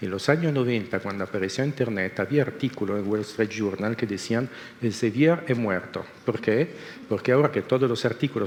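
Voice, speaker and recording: A normal speaking voice from a man, medium in pitch, with ordinary pitch variation and a fairly quick pace. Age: 60s. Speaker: researcher. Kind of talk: panel discussion.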